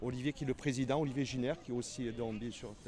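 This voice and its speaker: A man talks at a fairly quick pace and a medium pitch. His intonation stays fairly even. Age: 60s. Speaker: sculptor. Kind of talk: interview. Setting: convention stand. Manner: halting, many repetitions.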